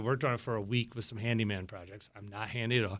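Recorded very cleanly with a silent background, a man with an American accent talks at a very fast pace in a bright, sharp tone. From Virginia (Virginia Beach). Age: 40s. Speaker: business founder and CEO. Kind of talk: casual interview. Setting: studio. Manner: animated.

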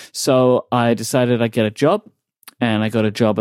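Recorded very cleanly with a silent background, a man with a London accent sounds dry and close, with no echo. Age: 30s. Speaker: podcaster and podcast network founder. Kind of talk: casual interview chat.

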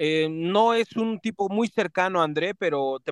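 A man with a fairly high pitch and ordinary pitch variation speaks in an unremarkable speaking voice, and the sound is dry and close with no echo. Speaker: club beat reporter. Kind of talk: radio sports report.

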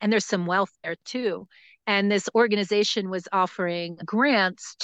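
Against a quiet background, a woman with an American accent uses a plain, everyday voice at medium pitch, her intonation fairly even and the sound dry and close with no echo. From US Northeast, New Jersey. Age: 50s. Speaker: forest school founder and educator. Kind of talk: casual interview. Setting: outdoors in a forest, remote call.

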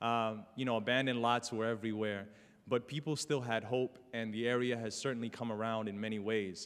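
A man at medium pitch with a New York accent. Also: fairly even intonation, fairly quick pace. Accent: New York City. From New York City, South Bronx. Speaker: community organizer. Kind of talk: talk to an audience. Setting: stage with audience. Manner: halting.

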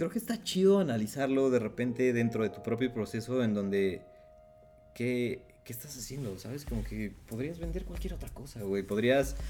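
Moderate-paced speech from a man at medium pitch, ordinary pitch variation, noticeable background noise. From Mexico, Puebla. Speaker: illustrator. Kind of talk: casual chat.

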